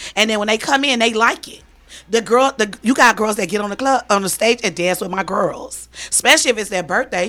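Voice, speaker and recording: An ordinary speaking voice from a woman, fairly high in pitch and fairly quick, with ordinary pitch variation and big swings in loudness. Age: 40s. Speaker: strip club house mom. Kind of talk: casual interview.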